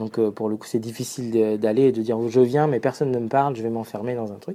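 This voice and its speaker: A man speaks at a very fast pace with a medium pitch. His tone is dark and mellow, and his intonation fairly even. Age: 40s. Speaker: social entrepreneur, founder of coding schools. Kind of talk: monologue sharing advice. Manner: hesitant with frequent fillers.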